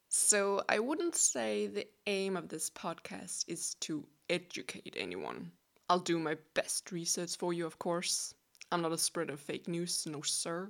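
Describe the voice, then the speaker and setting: Speaking with a Danish accent at a fairly slow pace, a woman uses a fairly low pitch and lively intonation. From Denmark. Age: 20s. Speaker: podcast host. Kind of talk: casual solo monologue.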